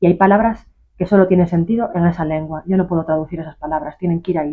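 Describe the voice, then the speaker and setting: Speaking at a very fast pace, a woman keeps her fairly low pitch in fairly even intonation. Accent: Galician. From Galicia, Isla de Arousa. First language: Galician (speaking Spanish). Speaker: author. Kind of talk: interview. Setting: bookshop.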